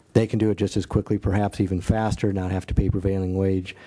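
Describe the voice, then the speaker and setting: In a Midwestern US accent, a man delivers his words in a monotone, flat intonation with a fairly low pitch and a dark, mellow tone. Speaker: city staff engineer. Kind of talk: public meeting briefing.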